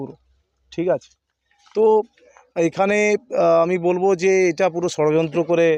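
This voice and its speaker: The man's high voice stays fairly even in intonation. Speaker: politician. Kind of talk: press statement.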